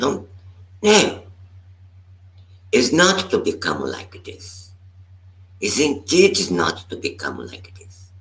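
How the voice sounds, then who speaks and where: A man talks at a very slow pace, with long, frequent pauses. His loudness swings widely. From Brazil. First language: Portuguese. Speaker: meditation teacher. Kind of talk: dharma talk. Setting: live stream. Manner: halting.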